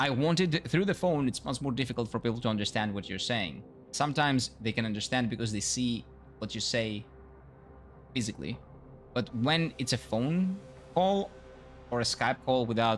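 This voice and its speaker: A man talks with lively intonation and long, frequent pauses. Music plays in the background. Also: medium pitch for a man. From Greece. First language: Greek. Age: 30s. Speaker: gaming streamer. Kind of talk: casual live-stream chat. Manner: fast.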